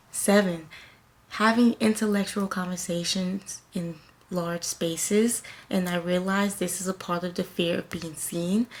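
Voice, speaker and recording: Soft-spoken and fairly slow, a woman with an American accent talks at a medium pitch with fairly even intonation. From US South. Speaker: lifestyle and self-care vlogger. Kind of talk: motivational talk to camera.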